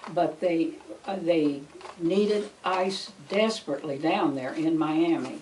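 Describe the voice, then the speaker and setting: Fairly low-pitched woman's voice at a fairly slow pace, with ordinary pitch variation and noticeable background noise. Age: 80s+. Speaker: retired school food service worker. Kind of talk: oral history interview answer.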